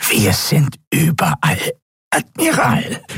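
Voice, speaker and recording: A croaky, raspy, nasal put-on character voice at a very slow pace. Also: man, fairly high pitch for a man. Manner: defiant, threatening.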